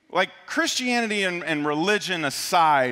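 A man speaks at a moderate pace. Music plays in the background. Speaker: pastor. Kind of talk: sermon. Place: church. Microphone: headset.

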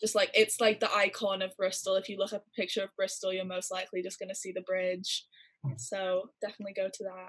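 A woman with an American accent talks at a very fast pace and medium pitch. Her intonation is fairly even, and the background is quiet. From California. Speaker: university student. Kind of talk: interview answer. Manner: casual, chatty. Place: home room. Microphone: video call.

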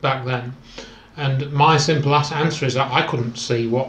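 Audible room echo surrounds a man who speaks fairly slowly in a monotone, flat intonation. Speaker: interviewee. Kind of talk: interview answer. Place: home room.

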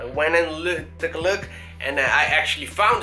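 Faint music sits behind a man as he speaks. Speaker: fitness vlogger. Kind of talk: casual vlog chat. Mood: rueful, animated storytelling. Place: home room. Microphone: phone near.

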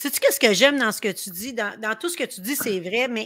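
A woman with a Quebec accent sounds animated, with a bright, sharp tone. The background is quiet. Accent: Québécois French. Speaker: live stream host. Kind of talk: casual chat. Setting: live video stream. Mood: warm, enthusiastic. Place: home room. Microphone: webcam.

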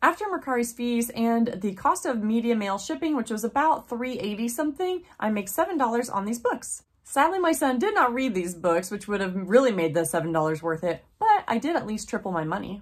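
Against a quiet background, a woman talks at a fairly quick pace with very wide pitch swings. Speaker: online reseller. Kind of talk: casual vlog chat. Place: home room.

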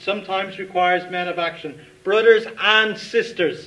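With an Irish accent, a man projects a raised, high-pitched voice and shows ordinary pitch variation. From Dublin, Ireland. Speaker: writer. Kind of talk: reading of own short story at live event. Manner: reflective, measured. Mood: earnest, reflective, solemn. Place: stage.

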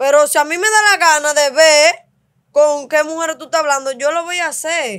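A woman speaks with a high pitch and ordinary pitch variation. Her pace is moderate against a quiet background. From Dominican Republic, Cibao countryside; Dominican Republic. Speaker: host's wife; podcast guest. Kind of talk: casual chat with her husband. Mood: assertive, arguing with partner. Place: studio. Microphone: studio mic.

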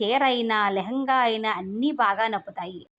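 The reading voice is natural, with ordinary pitch variation.

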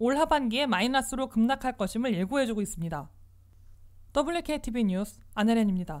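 On a very clean recording with a silent background, a woman speaks at a moderate pace. Her high voice carries lively intonation. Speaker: news reporter. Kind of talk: news reading. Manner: formal.

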